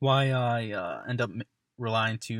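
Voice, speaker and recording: A man talks at a moderate pace with fairly even intonation. His pitch is medium. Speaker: college student. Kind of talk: self-reflection monologue. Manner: monotone; halting, many fillers.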